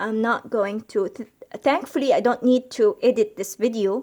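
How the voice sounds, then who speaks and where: The recording is very clean, with a silent background. A woman speaks with ordinary pitch variation. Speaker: cross-stitch vlogger. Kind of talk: casual video update. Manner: slow; hesitant, many fillers.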